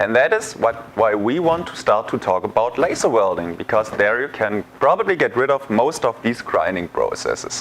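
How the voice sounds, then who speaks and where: Noticeable background noise runs behind a man speaking with a German accent. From Germany. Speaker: sales engineer. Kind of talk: tutorial. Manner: hesitant, many fillers.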